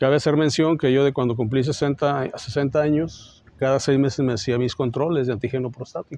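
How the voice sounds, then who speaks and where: Speaking at a fairly quick pace with hardly any pauses, a man of medium pitch has a dark, mellow tone and fairly even intonation. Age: 60s. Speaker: surgeon, cancer survivor. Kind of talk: testimony.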